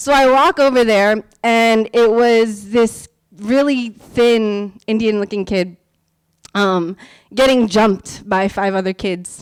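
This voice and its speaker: A woman with a fairly high pitch and a Californian accent, very slow in pace, with ordinary pitch variation. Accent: Californian American English. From US West Coast, San Francisco Bay Area. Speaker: teacher and performer. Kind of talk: storytelling performance. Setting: stage with audience. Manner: loud.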